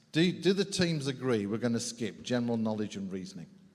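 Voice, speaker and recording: With an English accent and an animated tone, a man speaks at a fairly quick pace at a medium pitch, making very wide pitch swings amid audible room echo. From England. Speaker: game show host. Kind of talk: live game show hosting. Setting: stage with live audience.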